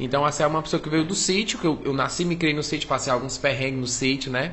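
Noticeable background noise behind a man's speech, its pitch varying in an ordinary way. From Cariri, Ceará, Brazil (rural Juazeiro do Norte). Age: 30s. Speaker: comedian. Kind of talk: casual chat.

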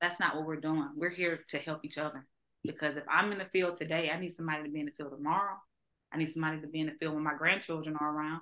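Speaking very fast with an American accent, a woman keeps a monotone, flat intonation. Her pitch is very deep and low, yet her tone comes across bright and sharp. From Georgia, US. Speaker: social worker, conference founder. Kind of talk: casual interview chat.

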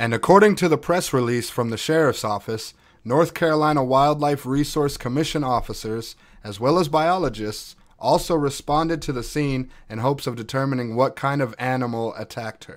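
On a very clean recording with a silent background, a man speaks at a moderate pace and a fairly high pitch, with ordinary pitch variation. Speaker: podcast host. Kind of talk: true-crime narration, then casual storytelling. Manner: informal, animated, rough around the edges; conversational, opinionated.

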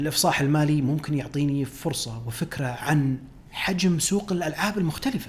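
With an unremarkable speaking voice, a man pitched fairly high talks at a moderate pace with ordinary pitch variation and hardly any pauses. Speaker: podcast host, financial analyst. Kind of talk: solo podcast commentary.

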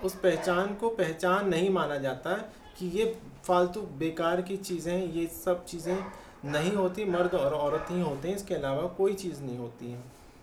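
Over noticeable background noise and audible room echo, a woman speaks at a fairly low pitch with ordinary pitch variation. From Chandigarh, India. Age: 50s. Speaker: transgender rights activist. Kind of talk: interview, personal testimony.

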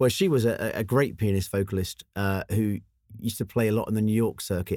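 His intonation stays fairly even as the man speaks. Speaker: pianist and composer. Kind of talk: casual interview chat. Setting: studio. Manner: halting, fillers.

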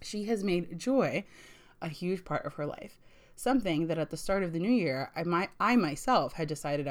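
In a very clean recording with a silent background, a woman with an unremarkable speaking voice and a fairly low pitch talks at a fairly quick pace with lively intonation. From US, Puerto Rican family. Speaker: book podcast host. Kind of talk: solo book review podcast.

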